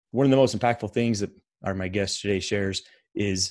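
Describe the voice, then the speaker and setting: With an American accent, a man talks over a quiet background. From United States. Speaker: podcast host, soldier. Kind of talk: casual interview; scripted intro.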